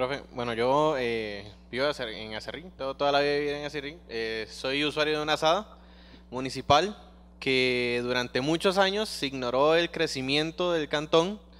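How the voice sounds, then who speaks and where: Moderate pace and ordinary pitch variation in a man's fairly high-pitched voice, a normal speaking voice. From Costa Rica. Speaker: student. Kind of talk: classroom question. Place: classroom.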